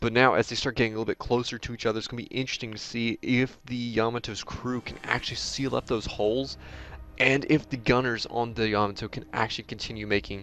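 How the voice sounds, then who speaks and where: Music plays in the background as a man speaks. His medium-pitched voice moves at a fairly quick pace. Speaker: gaming YouTuber. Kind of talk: live gameplay commentary. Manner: fast; animated.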